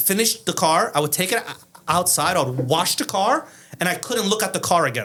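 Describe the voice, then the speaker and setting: In a raised, projected voice, a man speaks at a high pitch and a moderate pace with lively intonation. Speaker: car painter. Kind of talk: casual chat. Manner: stutter when excited.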